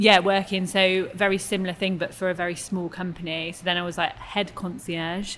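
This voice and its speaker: Fairly quick, monotone delivery with flat intonation and hardly any pauses. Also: woman, medium pitch for a woman. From Cheltenham, England. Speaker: teacher. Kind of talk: casual chat.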